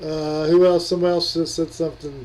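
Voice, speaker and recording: A man speaks loudly at a fairly slow pace. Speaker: streamer. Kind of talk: casual chat.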